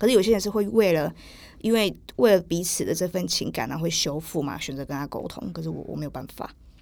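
On a very clean recording with a silent background, a woman with a fairly low pitch and vocal fry talks very fast, her intonation lively and her loudness swinging widely. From southern Taiwan. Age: 20s. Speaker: podcast guest. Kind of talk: casual interview.

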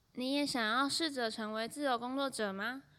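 A woman speaks at a moderate pace in an ordinary speaking voice, with ordinary pitch variation. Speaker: podcast host and freelance writer. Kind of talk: solo podcast monologue.

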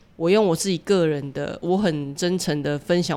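Speaking at a moderate pace, a woman uses a normal speaking voice. Her pitch is fairly low and her intonation fairly even. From Taiwan. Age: 40s. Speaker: author and social worker. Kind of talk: interview.

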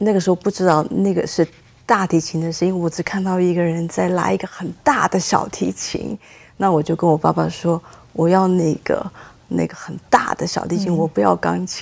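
At a moderate pace, a woman speaks in a fairly low pitch with fairly even intonation. Hers is a plain, everyday voice. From Taiwan. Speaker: cellist. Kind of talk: interview.

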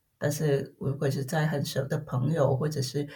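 A woman with a very deep, low-pitched voice that sounds somewhat breathy and carries a dark, mellow tone. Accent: Vietnamese. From Vietnam. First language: Vietnamese (speaking Chinese). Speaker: corporate tax specialist. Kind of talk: interview. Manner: halting, many fillers and repetitions.

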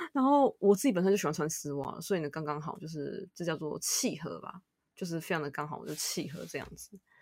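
Her very deep, low pitch carries vocal fry as this woman talks at a fairly quick pace, with ordinary pitch variation and big swings in loudness. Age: 30s. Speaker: podcast host. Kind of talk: casual chat.

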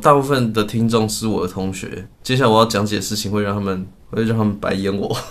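A man talks at a very fast pace in a fairly low voice with fairly even intonation. Audible room echo surrounds him. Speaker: podcast co-host. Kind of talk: casual chat. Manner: frequent laughter.

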